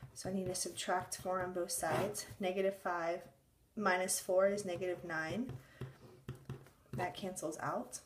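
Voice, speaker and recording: Long, frequent pauses break up a woman's speech, delivered with fairly even intonation. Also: medium pitch for a woman, fairly slow pace. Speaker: math teacher. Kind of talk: tutorial.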